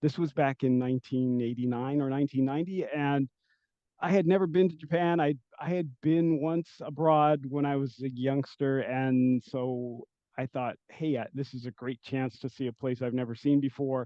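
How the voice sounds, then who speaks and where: Here a man talks at a moderate pace. His pitch is fairly high and his intonation fairly even. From US West Coast, San Francisco Bay Area. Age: 60s. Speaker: educator and administrator. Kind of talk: interview. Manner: hesitant, many fillers.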